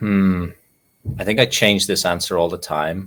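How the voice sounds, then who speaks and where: A man talks at a moderate pace with an Irish accent. The recording is very clean, with a silent background. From Ireland. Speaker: nonprofit CEO and meditation teacher. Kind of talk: interview. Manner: reflective, with frequent fillers.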